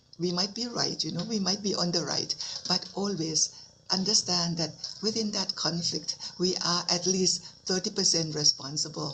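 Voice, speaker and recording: A woman's fairly low voice in a Thai accent, with fairly even intonation and noticeable background noise. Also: moderate pace. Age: 70s. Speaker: Buddhist nun teacher. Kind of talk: dharma talk.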